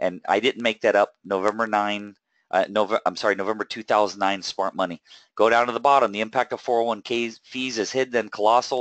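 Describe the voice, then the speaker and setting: This man has an ordinary speaking voice, fairly low in pitch, with fairly even intonation and a fairly quick pace. The sound is dry and close with no echo, over a quiet background. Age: 40s. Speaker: wealth coach hosting a webinar. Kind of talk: webinar presentation. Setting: online webinar with screen share.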